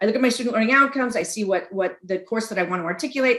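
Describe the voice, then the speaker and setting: A woman is speaking. Her intonation is lively. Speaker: college instructor. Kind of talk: conference presentation. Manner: fast.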